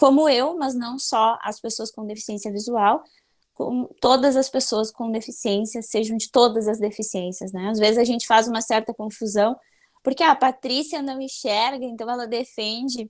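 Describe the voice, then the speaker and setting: Speaking at a moderate pace, a woman uses a normal speaking voice pitched fairly high. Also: very clean recording, silent background. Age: 30s. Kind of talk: conference talk.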